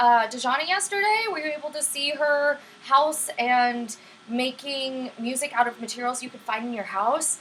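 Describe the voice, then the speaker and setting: The speech comes at a moderate pace, with noticeable noise behind it. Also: woman. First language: Vietnamese. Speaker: livestream STEM teacher. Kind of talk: live-streamed lesson with chat. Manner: friendly, upbeat.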